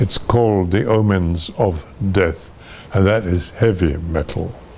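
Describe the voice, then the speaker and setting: Noticeable background noise accompanies a man with a fairly low pitch. He speaks at a very slow pace with ordinary pitch variation. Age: 80s+. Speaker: actor. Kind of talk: interview answer.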